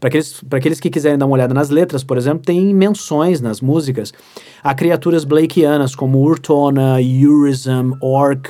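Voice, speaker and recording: A man's fairly high voice, dark and mellow in tone, at a moderate pace with fairly even intonation. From Rio Grande do Sul, Brazil (Santa Maria). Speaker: literature professor and writer. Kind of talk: casual interview chat. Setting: studio.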